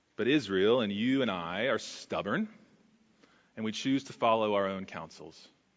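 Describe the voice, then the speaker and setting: With an American accent, a man speaks in an ordinary speaking voice at a moderate pace. His pitch is fairly low, with ordinary pitch variation. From Texas. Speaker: pastor. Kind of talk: sermon. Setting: church.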